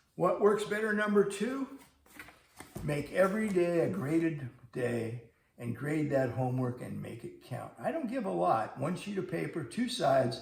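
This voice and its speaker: Audible room echo surrounds a man speaking at a moderate pace in a high pitch with very wide pitch swings. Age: 70s. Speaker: math teacher. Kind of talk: scripted video lesson. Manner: conversational.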